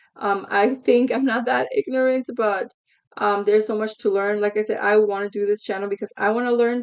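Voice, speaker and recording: Fairly quick and fairly high-pitched, a woman talks in a Spanish accent. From United States, Mexican-Guatemalan family. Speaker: reaction channel host. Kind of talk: casual commentary to camera. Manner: halting, many fillers.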